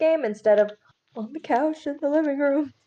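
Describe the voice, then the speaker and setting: Her voice, that of a woman, moves with ordinary pitch variation. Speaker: streamer. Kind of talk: casual chat.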